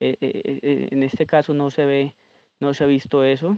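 A man speaks with a Colombian accent. His pitch is medium and his pace moderate. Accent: Colombian Spanish (Huila). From Colombia, Pitalito, Huila. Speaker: coffee farmer. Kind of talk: voice memo testimony. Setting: recorded voice memo. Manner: halting.

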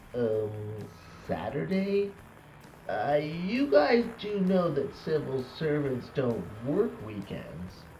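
Amid noticeable background noise, a man talks at a very slow pace with long, frequent pauses, his fairly high pitch swinging very widely. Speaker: radio host. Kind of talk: comedy sketch, mock CB radio banter and DJ patter. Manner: animated, jokey, mock-earnest news-style delivery.

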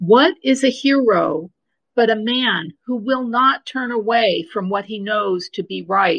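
Speaking at a fairly slow pace, a woman with an ordinary speaking voice uses lively intonation at a fairly high pitch. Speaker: listener, co-participant in live discussion. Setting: live Twitter Space audio chat.

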